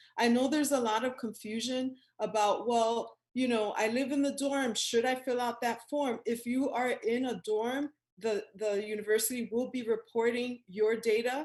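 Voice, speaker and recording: Fairly even intonation at a moderate pace, in a Spanish accent. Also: woman. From New York City. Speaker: professor. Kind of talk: presentation.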